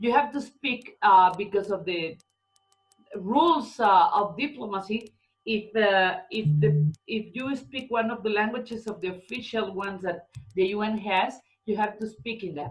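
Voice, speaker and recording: Music plays in the background as a woman with a non-native accent speaks at a moderate pace in a fairly high pitch. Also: ordinary pitch variation. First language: Spanish. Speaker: lawyer. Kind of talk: interview. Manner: halting.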